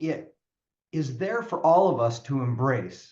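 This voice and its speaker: Somewhat breathy and medium in pitch, a man's voice comes through. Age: 60s. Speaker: personal growth coach and author. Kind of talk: podcast interview.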